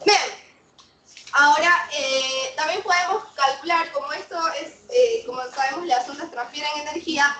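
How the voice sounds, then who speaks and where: With a raised, projected voice, a high-pitched woman speaks at a fairly slow pace with lively intonation, amid audible room echo and noticeable background noise. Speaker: physics teacher. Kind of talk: lecture.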